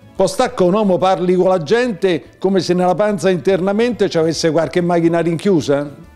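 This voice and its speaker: A man with a high pitch speaks in a Roman accent. Faint music plays behind him. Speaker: poet. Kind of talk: poetry reading. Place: home room.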